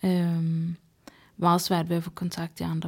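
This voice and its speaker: In a very clean recording with a silent background, a woman speaks fairly low and somewhat breathy, her intonation monotone and flat. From Sweden. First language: Swedish (speaking Danish). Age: 30s. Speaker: psychiatric patient guest. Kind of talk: casual interview conversation.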